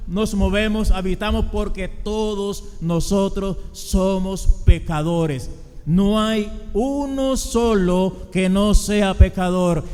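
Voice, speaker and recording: A high-pitched man speaks at a very slow pace with ordinary pitch variation. Noticeable background noise runs underneath. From Colombia. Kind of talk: sermon.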